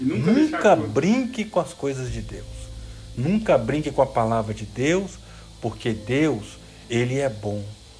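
A man speaks at a fairly slow pace with long, frequent pauses. His loudness swings widely, and room echo is audible. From Brazil, Minas Gerais (Jequitinhonha valley). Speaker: preacher. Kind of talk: sermon to young audience. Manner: animated.

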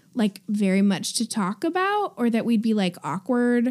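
Moderate pace, fairly high pitch, a woman with an ordinary speaking voice. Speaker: podcast co-host. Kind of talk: casual chat.

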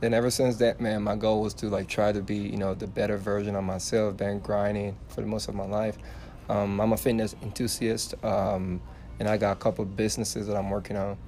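Music plays behind a man whose fairly low voice moves at a fairly quick pace in a monotone, flat intonation. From Liberia, West Africa. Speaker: fitness influencer. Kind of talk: casual chat. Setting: bookstore, public indoor space. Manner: loud.

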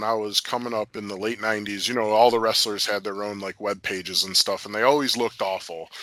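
Speaking at a moderate pace in an American accent, a man with a medium pitch and a bright, sharp tone is captured in a very clean recording with a silent background. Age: 30s. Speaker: former pro wrestler and MMA fighter. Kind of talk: casual interview. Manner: halting with frequent fillers.

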